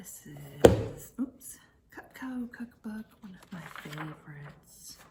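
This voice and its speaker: At a very slow pace, a soft-spoken woman talks over noticeable background noise. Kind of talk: casual talk to camera. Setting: indoors at home, flipping through books.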